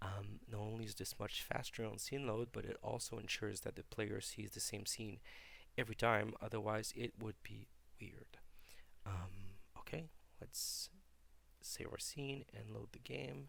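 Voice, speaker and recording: A man in a relaxed tone, fairly low-pitched with vocal fry, ordinary pitch variation and long, frequent pauses. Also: moderate pace. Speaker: hobbyist game developer. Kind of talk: casual software tutorial devlog. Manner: hesitant, relaxed.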